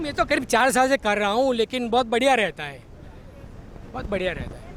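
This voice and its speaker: A man at an extremely high pitch with lively intonation and a moderate pace, crowd noise in the background. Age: 60s. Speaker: yoga practitioner. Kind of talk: interview answers.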